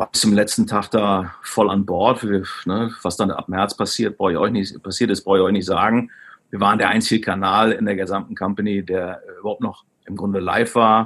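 The recording is very clean with a silent background. A man speaks at a moderate pace in a fairly low, monotone, flat voice. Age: 40s. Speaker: e-commerce executive. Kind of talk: interview. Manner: hesitant, many fillers.

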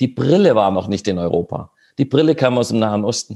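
Dark, mellow tone with lively intonation at a moderate pace. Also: man. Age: 50s. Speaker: politician. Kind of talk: online panel discussion. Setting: video call.

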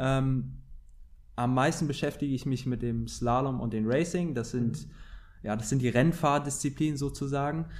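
Audible room echo around a man speaking fairly slowly in a medium pitch. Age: 20s. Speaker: professional windsurfer. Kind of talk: interview.

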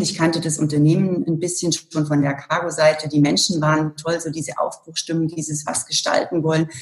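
At a moderate pace, a woman with a very deep, low pitch sounds somewhat breathy, her intonation fairly even. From Germany, Allgäu (rural Bavarian Swabia). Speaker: corporate communications director. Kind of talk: interview.

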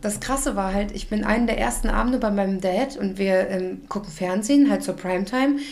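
With noticeable background noise and audible room echo, a woman talks at a fairly quick pace and a medium pitch, using ordinary pitch variation and hardly any pauses. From Germany. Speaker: podcast co-host. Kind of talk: scripted intro; casual chat.

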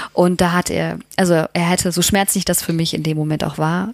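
A woman's fairly low, fairly even voice at a moderate pace, dry and close with no echo, over noticeable background noise. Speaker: astronaut trainee and mother. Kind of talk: casual interview. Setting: hotel room.

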